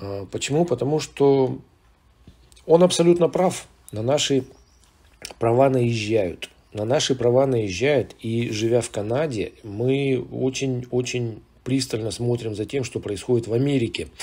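Taking long, frequent pauses, a man speaks fairly slowly at medium pitch with ordinary pitch variation. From Soviet Union. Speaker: video blogger. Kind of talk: monologue commentary. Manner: hesitant, with filler sounds.

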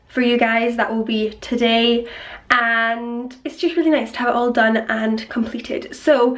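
A woman with a Scottish accent speaks in an upbeat tone. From Scotland. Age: 20s. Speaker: vlogger. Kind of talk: casual talk to camera. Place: home room. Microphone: phone near.

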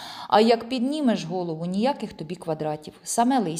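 Lively intonation in plain reading aloud.

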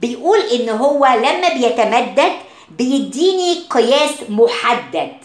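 A woman with an Egyptian accent, high-pitched and very slow, her intonation lively, amid audible room echo and noticeable background noise. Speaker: science teacher. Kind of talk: lecture. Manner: mixes Arabic and English.

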